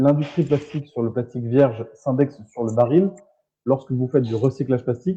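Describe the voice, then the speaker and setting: Speaking at a medium pitch, a man has a dark, mellow tone. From southern France (Marseille). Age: 20s. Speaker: entrepreneur in plastics recycling. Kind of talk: live talk show interview. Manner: hesitant, many fillers.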